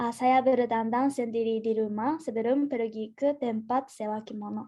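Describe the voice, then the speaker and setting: Dark and mellow in tone, a woman with a Japanese accent speaks at a fairly high pitch and moderate pace with fairly even intonation. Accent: Japanese accent in Indonesian. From Japan, Gifu. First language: Japanese (speaking Indonesian). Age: 20s. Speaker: university student. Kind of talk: presentation. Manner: halting, many fillers and restarts.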